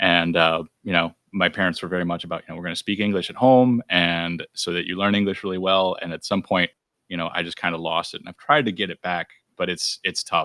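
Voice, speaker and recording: A man with an American accent, very deep, low pitch and a bright, sharp tone, at a fairly quick pace with fairly even intonation, on a very clean recording with a silent background and a dry, close sound with no echo. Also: big swings in loudness. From Brazil, raised in US from age ten. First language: Portuguese. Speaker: podcast host. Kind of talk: interview.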